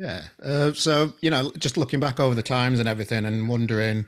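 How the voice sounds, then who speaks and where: The background is quiet while a man talks in a medium pitch, his pitch varying in an ordinary way. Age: 40s. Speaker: podcast host. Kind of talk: casual interview chat. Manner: halting, repeats words. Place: home room. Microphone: studio mic.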